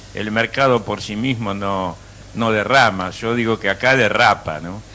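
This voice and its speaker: Speaking at a fairly slow pace in an Argentine accent, a man has a fairly low pitch and fairly even intonation. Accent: Argentine Spanish (Rioplatense). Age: 60s. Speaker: economist. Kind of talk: interview.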